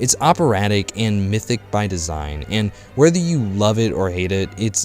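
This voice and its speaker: A man's fairly low voice with very wide pitch swings at a moderate pace, music playing in the background. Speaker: film reviewer. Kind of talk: film review narration.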